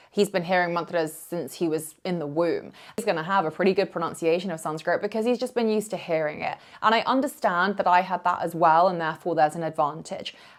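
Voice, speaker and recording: The speech is very fast, and the pitch varies in an ordinary way. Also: woman, fairly low pitch for a woman. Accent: British. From UK, Indian heritage. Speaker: yoga teacher. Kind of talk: vlog to camera.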